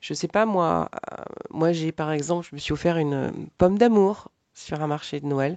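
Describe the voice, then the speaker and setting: This woman's voice sits at a very deep, low pitch. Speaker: life coach. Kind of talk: tutorial. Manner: hesitant, many filler sounds.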